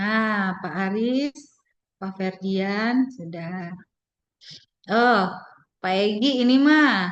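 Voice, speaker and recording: A woman at a very slow pace, long, frequent pauses, audible room echo around her. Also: medium pitch for a woman, ordinary pitch variation. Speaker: university lecturer. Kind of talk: online lecture. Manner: halting, many fillers.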